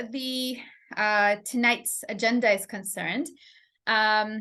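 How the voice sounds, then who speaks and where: A woman is speaking. Her tone is bright and sharp. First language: not English. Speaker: English teacher. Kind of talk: live stream lesson. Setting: live stream. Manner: halting, many fillers.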